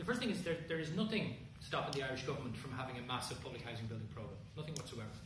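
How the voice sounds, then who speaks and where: The recording has noticeable background noise. Room echo is audible too. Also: man. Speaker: speaker. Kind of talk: answer to audience questions. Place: hall. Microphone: camera far.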